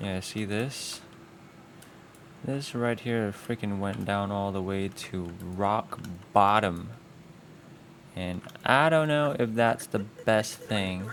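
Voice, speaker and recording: The speech moves at a very slow pace. Long pauses come frequently. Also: man, fairly low pitch for a man, ordinary pitch variation. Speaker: animator. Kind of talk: tutorial. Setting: live stream. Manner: casual.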